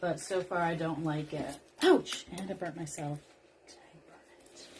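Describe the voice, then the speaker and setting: A woman talks at a moderate pace in a fairly low pitch, with noticeable background noise behind her. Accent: American. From rural US. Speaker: craft livestream host. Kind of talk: casual chat while crafting on a livestream. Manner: animated.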